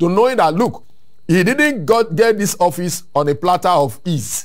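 A man talks at a moderate pace in a high voice with very wide pitch swings. The background is quiet. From Nigeria. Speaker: civil society activist; guest. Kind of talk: interview. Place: studio. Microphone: lapel.

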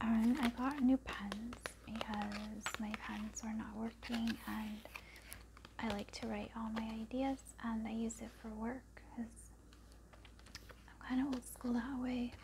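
A soft-spoken woman talks very slowly, with long, frequent pauses. Noticeable background noise runs underneath. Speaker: vlogger. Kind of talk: casual haul vlog chat. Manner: soft, hushed ASMR speaking voice. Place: home room. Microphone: phone near.

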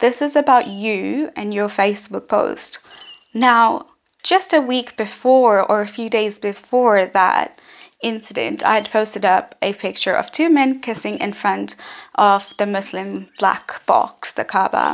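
A woman at a fairly slow pace, with ordinary pitch variation, against a quiet background. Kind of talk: personal account to camera. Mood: serious, reflective. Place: home room. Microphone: phone near.

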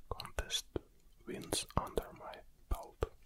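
A man whispering. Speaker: ASMR creator. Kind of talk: ASMR close whispering, personal introduction. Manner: whispered. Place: studio. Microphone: studio mic.

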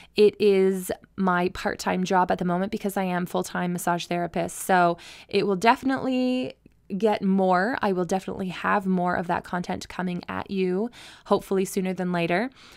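With a Canadian accent, a woman uses a normal speaking voice at medium pitch, moving at a moderate pace with fairly even intonation in a very clean recording over a silent background. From Ontario, Canada (rural, near Mitchell). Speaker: podcast host, massage therapist. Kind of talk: personal storytelling monologue.

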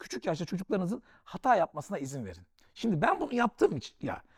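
A man talks at a very fast pace with very wide pitch swings. His tone is dark and mellow. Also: dry, close sound with no echo. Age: 40s. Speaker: author and investor. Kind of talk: casual interview.

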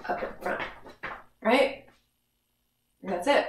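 A woman's somewhat breathy voice carries audible room echo. The background is quiet. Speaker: fitness instructor. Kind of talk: workout instruction. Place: home room. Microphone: camera far.

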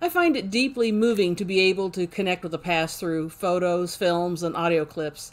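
The speaker talks at a moderate pace with hardly any pauses. Pitch variation is ordinary. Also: woman, medium pitch for a woman. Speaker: history channel host. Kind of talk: documentary narration. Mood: warm, enthusiastic. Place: home room. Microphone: webcam.

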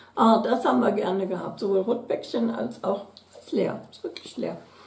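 A woman's voice comes with audible room echo. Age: 60s. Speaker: beauty product YouTuber. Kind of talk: unboxing video, casual chat. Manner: chatty. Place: home room.

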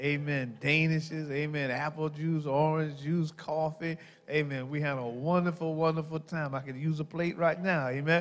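At a moderate pace, a man speaks with monotone, flat intonation. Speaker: pastor. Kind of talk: church announcements. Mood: warm, grateful. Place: church. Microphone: handheld.

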